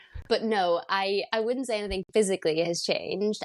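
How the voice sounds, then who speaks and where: A woman talks at a moderate pace with ordinary pitch variation. The sound is dry and close with no echo, against a quiet background. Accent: Northern Irish. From Northern Ireland. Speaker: vegan content creator. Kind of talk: casual interview chat. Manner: animated.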